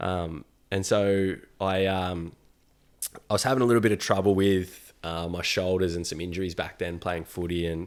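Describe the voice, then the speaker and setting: With an Australian accent, a man speaks at a moderate pace in a very deep, low voice with fairly even intonation, recorded very cleanly against a silent background. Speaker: yoga teacher, former electrician. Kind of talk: casual chat.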